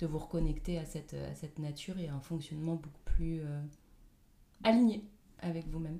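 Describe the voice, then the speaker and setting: With a very deep, low pitch and a dark, mellow, somewhat breathy tone, a woman talks at a fairly quick pace with ordinary pitch variation and long, frequent pauses. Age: 30s. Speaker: life coach. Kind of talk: interview.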